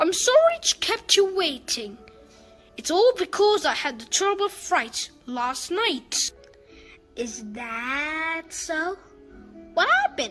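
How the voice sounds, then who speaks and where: A woman speaks in a put-on character voice. Faint music plays in the background. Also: fairly slow pace. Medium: read story. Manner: overly polite, wheedling.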